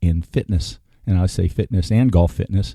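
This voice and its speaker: A man's very deep, low pitch and dark, mellow tone at a moderate pace, with a dry, close sound and no echo. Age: 60s. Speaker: podcast host. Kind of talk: podcast monologue. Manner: halting.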